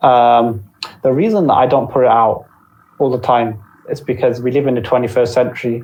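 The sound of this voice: A man speaks at a moderate pace with a medium pitch and ordinary pitch variation. His tone is slightly mellow, and there is audible room echo.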